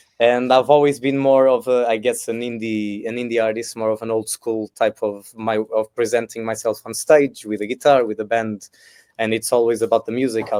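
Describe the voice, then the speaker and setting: In a Portuguese accent, a man speaks at medium pitch and a moderate pace with fairly even intonation, in a very clean, silent recording that sounds dry and close with no echo. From Portugal, Lisbon area. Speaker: singer-songwriter, festival contestant. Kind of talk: interview. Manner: halting.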